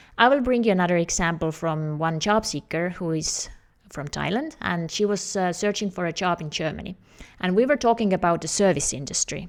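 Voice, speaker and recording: Speaking at a fairly quick pace, a woman with an Estonian accent has a medium pitch and lively intonation. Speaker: career coach. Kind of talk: tutorial.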